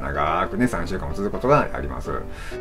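Clear music sounds in the background. A man talks over it at a moderate pace. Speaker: health info vlogger. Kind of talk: explanatory vlog chat. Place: home room. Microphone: phone near.

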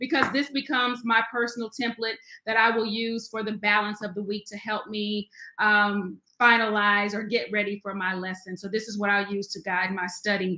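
A woman speaks at a moderate pace with fairly even intonation. Her tone is bright and sharp. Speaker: Sunday school teacher. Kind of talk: livestream Bible study talk. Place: home room. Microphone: webcam.

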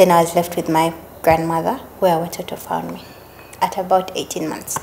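A woman speaks in a monotone, flat intonation over light background noise. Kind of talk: interview answer. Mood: warm, grateful, reflective. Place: home room.

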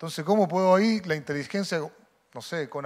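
An unremarkable speaking voice from a man, at a fairly quick pace with ordinary pitch variation. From Chile. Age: 50s. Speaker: football coaching instructor, former player; football coaching instructor. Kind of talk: lecture. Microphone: handheld.

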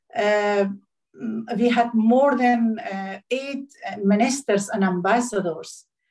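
A woman's fairly high voice at a very slow pace, ordinary pitch variation, and a quiet background. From Afghanistan. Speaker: diplomat; webinar panelist. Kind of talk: speech. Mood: serious, concerned. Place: home room. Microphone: phone near.

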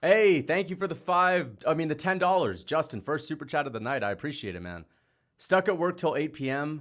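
Lively intonation carries the speech at a moderate pace over a quiet background. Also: man. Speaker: livestream host. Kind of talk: casual livestream chat reading super chats. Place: home room. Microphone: studio mic.

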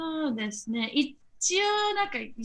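A woman's bright, sharp tone in an Australian accent, at a fairly slow pace. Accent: Australian English; English-accented Japanese. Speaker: share house resident. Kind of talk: interview. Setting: remote call. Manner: halting.

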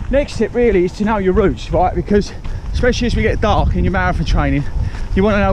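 Against light background noise, a man speaks very fast in a dry sound with no echo. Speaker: running vlogger. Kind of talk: casual vlog chat, tips. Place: waterside. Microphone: phone near.

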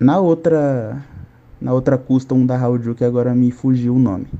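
A man talks at a medium pitch. The variation in his pitch is ordinary. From São Paulo state, Brazil (São Bernardo do Campo); São Paulo, Brazil. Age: 20s. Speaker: caller. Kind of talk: live call-in question. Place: home room.

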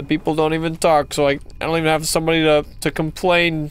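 Someone talks at a fairly quick clip while music plays in the background. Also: man. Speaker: gaming YouTuber. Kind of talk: gameplay commentary. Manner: animated.

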